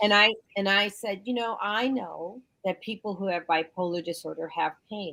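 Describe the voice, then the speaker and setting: A woman with an unremarkable speaking voice talks at a medium pitch and moderate pace, keeping her intonation fairly even. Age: 50s. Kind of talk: casual chat.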